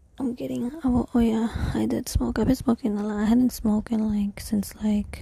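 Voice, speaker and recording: At a moderate pace, the voice carries on through noticeable background noise. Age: 20s. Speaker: solo vlogger. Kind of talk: casual monologue. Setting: at home. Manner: rambling, halting. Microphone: cheap microphone.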